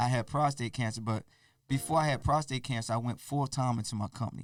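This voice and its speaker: This man speaks at a fairly quick pace with a medium pitch. His pitch varies an ordinary amount. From Eastern Shore of Maryland, US. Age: 50s. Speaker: DJ. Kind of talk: podcast interview.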